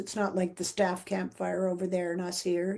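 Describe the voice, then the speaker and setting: In a Canadian accent, a woman talks at a fairly quick pace and a medium pitch. Her tone is dark and mellow, her intonation monotone and flat. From Vancouver, Canada. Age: 70s. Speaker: retired teacher and principal, trekker, author. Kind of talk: interview answer.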